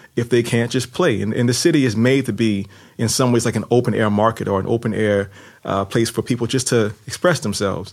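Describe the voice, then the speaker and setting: Someone with a New Orleans accent talks at a fairly quick pace, keeping a very even loudness and ordinary pitch variation. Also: man, medium pitch for a man. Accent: New Orleans American English. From US, New Orleans. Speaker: novelist and former lawyer. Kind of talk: interview. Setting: studio.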